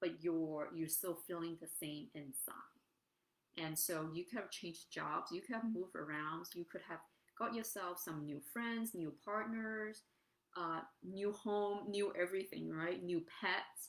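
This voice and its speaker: This woman is soft-spoken, with a fairly low pitch and ordinary pitch variation. She talks at a fairly slow pace. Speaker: life coach. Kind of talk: live-streamed motivational talk. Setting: standing, live stream on camera. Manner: hesitant, many fillers.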